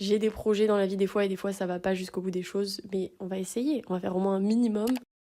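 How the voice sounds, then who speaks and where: A woman's medium-pitched voice at a very fast pace with fairly even intonation. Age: 20s. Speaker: art student. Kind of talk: casual vlog intro to camera. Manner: chatty, rambling.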